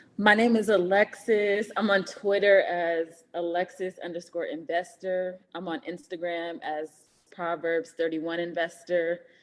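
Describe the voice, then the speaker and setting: In an American accent, a normal speaking voice carries fairly even intonation. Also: woman, fairly low pitch for a woman, fairly slow pace. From California, Oakland. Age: 30s. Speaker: investor, banker. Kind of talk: interview.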